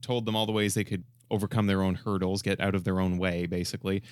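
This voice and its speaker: A man speaks at a very fast pace on a very clean recording with a silent background. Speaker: podcast co-host, communications consultant. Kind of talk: casual chat. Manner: relaxed.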